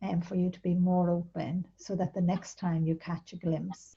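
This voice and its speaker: Soft-spoken and somewhat breathy, a woman with an Irish accent speaks at a fairly low pitch in a dark, mellow tone. Her intonation is monotone and flat. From Ireland. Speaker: spiritual author. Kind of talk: interview answer.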